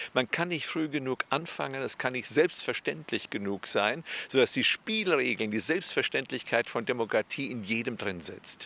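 A man with a medium pitch and a bright, sharp tone talks at a moderate pace with hardly any pauses and lively intonation, the sound dry with no echo. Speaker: political science professor. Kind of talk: interview. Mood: calm, earnest, engaged. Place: street. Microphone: handheld.

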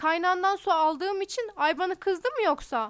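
A woman uses a put-on character voice pitched extremely high. Her shaky delivery moves at a moderate pace.

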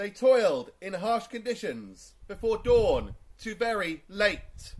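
Speaking at a very slow pace, a man's voice swings widely in loudness. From England. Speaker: town crier. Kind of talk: town crier proclamation in rhyming verse. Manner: loud, projected, formal. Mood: solemn and commemorative. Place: garden. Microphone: camera far.

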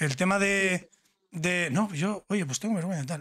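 Against a quiet background, a man talks at a fairly slow pace in an animated tone. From Spain. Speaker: YouTube interviewer. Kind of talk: casual interview. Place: home room. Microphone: studio mic.

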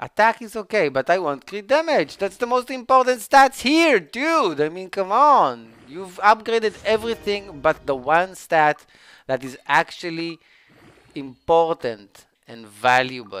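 With a non-native accent, a man speaks at a fairly slow pace in a dry sound with no echo. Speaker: gaming streamer. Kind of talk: gameplay commentary. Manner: animated; halting. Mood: frustrated, exasperated. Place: home room.

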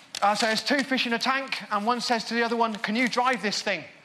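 An extremely high-pitched, raised and projected male voice with an English Midlands accent and fairly even intonation, over noticeable background noise. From England, Northampton; England. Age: 40s. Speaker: magician. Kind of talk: magic performance patter. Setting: stage with audience. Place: stage. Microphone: lapel.

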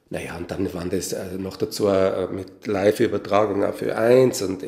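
A man with a dark, mellow tone talks at a fairly low pitch, somewhat breathy, with fairly even intonation. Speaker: composer and musician. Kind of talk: interview.

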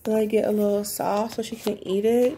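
There is light background noise as a woman speaks at a fairly slow pace. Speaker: mom vlogger. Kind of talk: casual vlog chat. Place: home room. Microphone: phone near.

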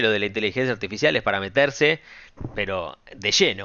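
In a Rioplatense accent, a man speaks in an animated tone with ordinary pitch variation. The sound is dry with no echo, over a quiet background. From Argentina, Buenos Aires area; Argentina. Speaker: stock market YouTuber. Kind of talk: market analysis video. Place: home room.

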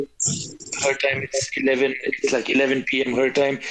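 Over light background noise, a man with a fairly high pitch speaks at a fairly slow pace. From Bhutan. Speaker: podcast co-host. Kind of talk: casual chat. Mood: relaxed, joking. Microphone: video call.

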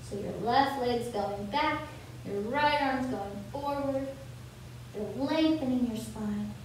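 High female voice at a fairly slow pace with ordinary pitch variation, in strong room echo with light background noise. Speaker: fitness instructor. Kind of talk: guided yoga class. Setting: video call. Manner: calm, clear, instructional. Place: gym.

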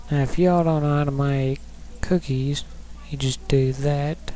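A man with an American accent at a moderate pace, amid noticeable background noise. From rural US. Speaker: Minecraft youtuber. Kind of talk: casual gameplay commentary. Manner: casual, rambling.

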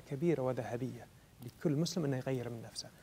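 A man at medium pitch over light background noise. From Kuwait. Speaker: TV program host. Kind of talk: religious TV interview. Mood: earnest, encouraging. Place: hall. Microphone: lapel.

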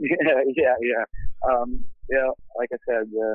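With a Portuguese accent, a man speaks in fairly even intonation. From Brazil. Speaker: metal band vocalist. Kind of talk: casual interview. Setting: phone call.

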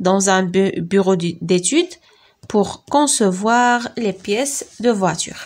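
Speaking very slowly in a Moroccan accent, a woman holds a medium pitch with ordinary pitch variation and very even loudness. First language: Moroccan Arabic (speaking French). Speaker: teacher. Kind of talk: lecture. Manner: halting.

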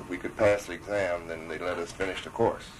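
Light background noise sits under a man with a very deep, low pitch. He talks at a fairly quick pace with fairly even intonation. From Chicago. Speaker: war veteran. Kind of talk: oral history interview; oral history interview answer. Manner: halting. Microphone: old recording.

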